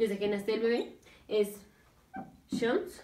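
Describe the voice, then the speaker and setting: A woman speaks with fairly even intonation, and room echo can be heard. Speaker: medical teacher. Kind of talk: lecture. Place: home room. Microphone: camera far.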